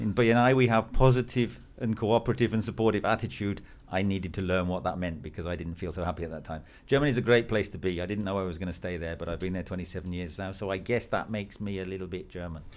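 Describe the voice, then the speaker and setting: A man with a very deep, low pitch speaks very fast, his pitch varying in an ordinary way. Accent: English. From England. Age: 50s. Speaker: business networking executive. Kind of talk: interview.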